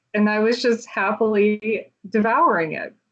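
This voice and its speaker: A fairly high-pitched woman with a slight Southern US accent. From US South, Atlanta, Georgia. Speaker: author and illustrator. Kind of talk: casual chat. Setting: podcast interview.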